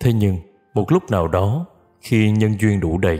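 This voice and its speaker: A man talks in a calm tone with a fairly low pitch. He keeps a fairly slow pace. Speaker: singer. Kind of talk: spiritual reading. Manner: slow, calm.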